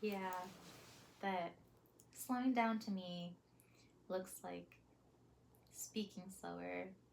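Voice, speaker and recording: Long, frequent pauses from a woman at a very slow pace. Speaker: vlogger. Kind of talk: casual vlog monologue. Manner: hesitant, many fillers.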